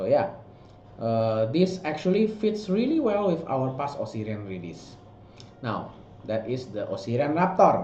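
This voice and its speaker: With a non-native accent, a man speaks at a fairly slow pace and fairly high pitch. His pitch swings very widely, and audible room echo is present. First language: not English. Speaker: miniature sculptor and art director. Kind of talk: product walkthrough. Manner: halting, many fillers and restarts.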